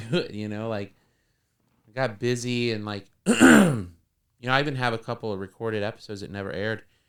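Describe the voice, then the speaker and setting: With an American accent, a man speaks at a fairly quick pace and medium pitch, showing ordinary pitch variation and big swings in loudness. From northern Florida. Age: 40s. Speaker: comedian and musician. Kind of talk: casual interview chat. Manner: halting, many repeated words.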